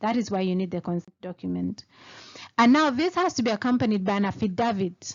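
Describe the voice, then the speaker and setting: A woman talks very fast in a Kenyan accent. Her intonation is lively. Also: medium pitch for a woman. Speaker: lawyer. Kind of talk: tutorial. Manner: casual explanatory.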